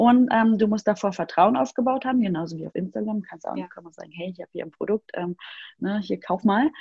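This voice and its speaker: Heard with a dry, close sound and no echo, a woman speaks at a medium pitch in a somewhat breathy, dark, mellow tone. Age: 30s. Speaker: email marketing expert. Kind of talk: casual interview.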